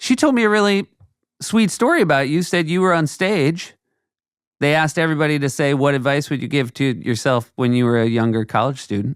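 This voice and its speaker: Captured in a very clean recording with a silent background, a man in a plain, everyday voice speaks at a fairly high pitch and fairly quick pace with lively intonation. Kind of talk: casual podcast conversation.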